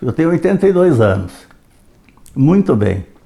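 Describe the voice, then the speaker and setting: There's vocal fry in this man's dark, mellow voice, which moves through very wide pitch swings. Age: 80s+. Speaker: retired history educator. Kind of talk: reflective monologue.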